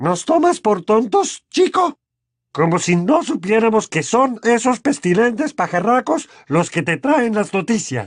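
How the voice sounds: A put-on character voice with big pitch swings at a fairly slow pace, on a very clean recording with a silent background. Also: man, high pitch for a man.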